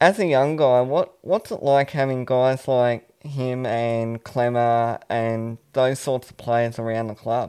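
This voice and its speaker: Against a quiet background, a man with a dark, mellow tone speaks at medium pitch with ordinary pitch variation. He goes very slowly with hardly any pauses, and his loudness swings widely. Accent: Australian. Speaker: sports podcast co-host. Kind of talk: casual interview.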